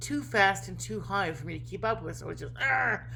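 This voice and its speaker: A woman's moderately paced speech carries audible echo from the room. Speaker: vlogger. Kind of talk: casual vlog monologue. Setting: home kitchen counter, laptop. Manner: animated.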